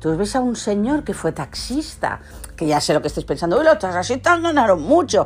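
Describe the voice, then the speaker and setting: Noticeable background noise under speech at a moderate pace, its pitch swinging very widely. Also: woman. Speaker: podcaster. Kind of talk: casual solo monologue.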